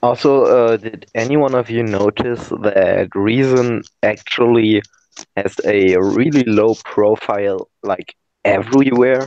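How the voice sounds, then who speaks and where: This man, with a German accent, speaks at a fairly slow pace and medium pitch. His intonation is fairly even, and the sound is dry and close with no echo. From Germany. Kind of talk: casual chat.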